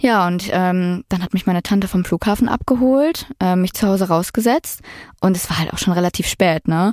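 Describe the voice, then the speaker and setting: An unremarkable speaking voice from a woman, medium in pitch with ordinary pitch variation, at a moderate pace, in a very clean recording with a silent background. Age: 20s. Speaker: product manager telling her dating story. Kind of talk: storytelling interview.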